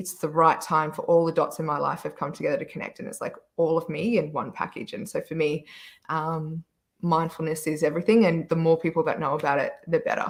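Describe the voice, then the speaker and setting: The recording is very clean with a silent background as a woman with a fairly low pitch talks fairly quickly, her intonation fairly even. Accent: Australian. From Australia. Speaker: panelist, wellness business owner. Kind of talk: panel discussion.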